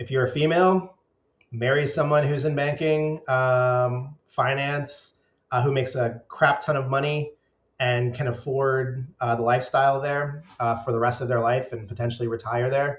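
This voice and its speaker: Here a man with an American accent talks at a medium pitch and moderate pace. His voice is somewhat breathy, with fairly even intonation. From US, Northern Virginia. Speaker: vlogger. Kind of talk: casual monologue. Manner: hesitant, many fillers.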